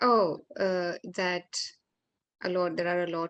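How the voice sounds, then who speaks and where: A woman with a Marathi accent talks at a fairly slow pace in a fairly low pitch, the sound dry and close with no echo. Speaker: yoga therapist and life coach.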